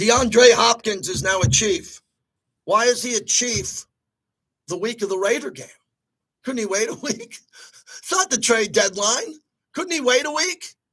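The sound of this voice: Using a put-on character voice, a man speaks with extremely high pitch, raspy and hoarse, with lively intonation. He keeps a moderate pace broken by long, frequent pauses.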